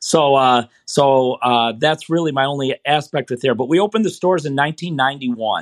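A man with an American accent speaks at a fairly high pitch and a fairly quick pace, with hardly any pauses and ordinary pitch variation. The sound is dry and close with no echo, over a quiet background. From Michigan, US. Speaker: running coach. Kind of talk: interview. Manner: halting, many fillers.

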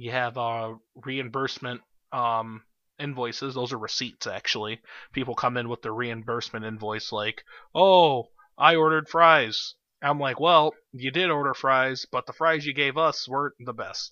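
A man's unremarkable speaking voice, an unremarkable speaking voice at medium pitch, moderate pace, and ordinary pitch variation. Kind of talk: comedy podcast with radio DJ patter and mock ads.

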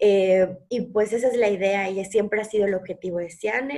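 In an ordinary speaking voice, a woman talks at a moderate pace and medium pitch with fairly even intonation. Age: 30s. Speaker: nutritionist podcast co-host. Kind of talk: casual conversational podcast.

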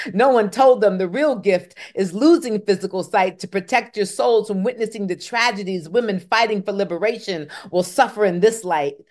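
A woman speaks in an ordinary speaking voice with an American accent, at a moderate pace with hardly any pauses. Her pitch is medium and varies in the ordinary way. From Michigan (Kalamazoo). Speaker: spoken word poet. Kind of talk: interview; poetry performance.

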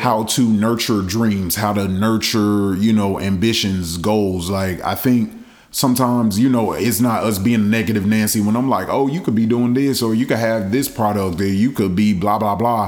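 Speaking at a moderate pace with hardly any pauses, a man keeps a fairly low pitch and very even loudness. Audible room echo surrounds his voice. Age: 20s. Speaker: podcast guest. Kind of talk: casual chat. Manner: animated.

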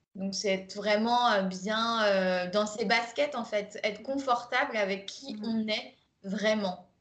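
A woman speaking at a very slow pace, fairly high in pitch, with fairly even intonation and audible room echo. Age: 20s. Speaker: life coach. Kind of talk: recorded masterclass, conversational presentation. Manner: hesitant, many fillers.

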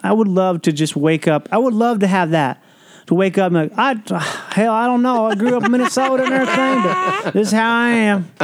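An American accent comes from a man with a high pitch and ordinary pitch variation. He talks at a fairly quick pace with very even loudness. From US Midwest. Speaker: actor and comedian. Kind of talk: casual chat. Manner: soft-spoken.

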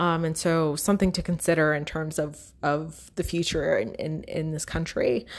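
At a moderate pace with hardly any pauses, a woman speaks with fairly low pitch and fairly even intonation on a very clean recording with a silent background. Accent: American. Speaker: university instructor. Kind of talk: recorded lecture. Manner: hesitant, many fillers.

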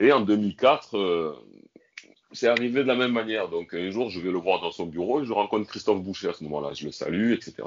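In an unremarkable speaking voice, a man with a fairly low pitch talks at a fairly quick pace with lively intonation. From France, Marseille. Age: 40s. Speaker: son of a former football club president. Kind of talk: podcast interview.

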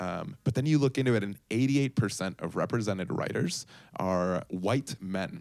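The speaker has a plain, everyday voice. Intonation is lively and the pace moderate. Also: man, fairly low pitch for a man. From Puerto Rico and Chicago, Colombian family. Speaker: startup co-founder and former TV performer. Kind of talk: interview.

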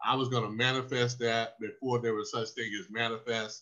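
A man's medium-pitched voice in a Southern US accent, with fairly even intonation and a moderate pace. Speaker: former pro football linebacker. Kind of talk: interview storytelling.

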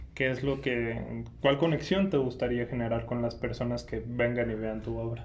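In a room with audible echo, a man talks at a moderate pace with hardly any pauses. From Irapuato, Mexico. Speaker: podcast host. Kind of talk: casual interview. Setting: museum, in person.

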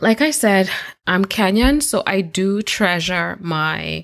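A woman's voice at a medium pitch. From Kenya, Nairobi (moved to US at 14). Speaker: podcast host. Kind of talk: solo podcast monologue.

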